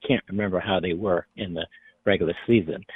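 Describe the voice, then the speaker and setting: The speaker has an unremarkable speaking voice, with fairly even intonation and a moderate pace. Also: man. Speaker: caller. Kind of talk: radio call-in.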